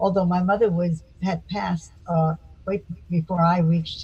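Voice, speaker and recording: A woman with an American accent speaks in a fairly low, somewhat breathy voice with fairly even intonation. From US South, Florida (Miami Beach). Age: 80s+. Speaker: psychotherapist. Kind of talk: interview.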